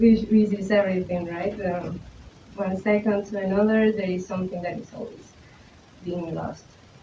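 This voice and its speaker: With a Spanish accent, a woman at a medium pitch speaks at a moderate pace in a monotone, flat way, her loudness swinging widely against noticeable background noise. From Colombia. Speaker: visual artist, photographer. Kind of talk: artist talk presentation. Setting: talk with live audience. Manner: halting, many fillers and repetitions.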